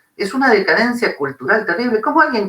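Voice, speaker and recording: A man in an Argentine accent with a raised, projected voice and very wide pitch swings. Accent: Argentine Spanish (Rioplatense). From Argentina. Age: 60s. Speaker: philosophy professor. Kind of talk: interview conversation. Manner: animated.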